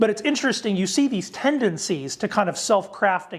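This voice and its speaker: This man speaks with lively intonation. The recording is very clean, with a silent background. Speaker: theologian lecturer. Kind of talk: lecture. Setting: lecture to ministers. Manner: fast; halting with fillers and restarts.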